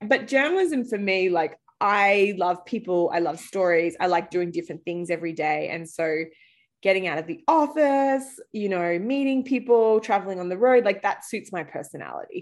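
A woman with an Australian accent speaks at a moderate pace with lively intonation and medium pitch, in a very clean recording with a silent background. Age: 30s. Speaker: startup founder, former journalist. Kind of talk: casual interview. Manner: casual, conversational.

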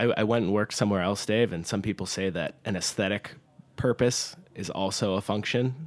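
A man with an unremarkable speaking voice, fairly low in pitch, at a fairly quick pace with ordinary pitch variation. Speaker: bartender. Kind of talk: casual chat. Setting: studio.

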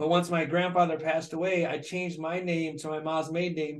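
A plain, everyday voice from a man with an American accent, fairly high in pitch and at a fairly quick pace. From Michigan, Flint. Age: 50s. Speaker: dentist. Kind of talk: casual interview.

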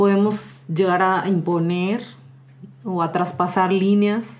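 A woman at medium pitch talks with audible room echo around her. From Mexico. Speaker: social communicator and feminist activist. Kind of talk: casual chat.

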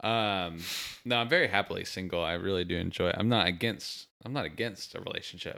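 A man with a fairly low pitch, a bright, sharp tone, ordinary pitch variation and a fairly quick pace. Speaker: podcast host. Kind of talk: casual chat.

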